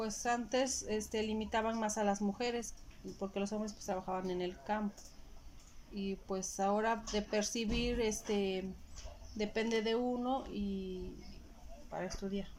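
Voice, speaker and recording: Her fairly high-pitched voice stays monotone and flat as this woman talks at a fairly slow pace with long, frequent pauses. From Mexico, Puebla. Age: 30s. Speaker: homemaker. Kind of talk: interview. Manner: halting.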